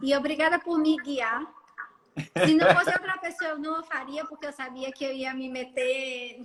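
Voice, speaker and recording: A woman's high voice at a moderate pace, ordinary pitch variation, big swings in loudness, and noticeable background noise. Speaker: dentist. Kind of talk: casual chat. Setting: Instagram live video call.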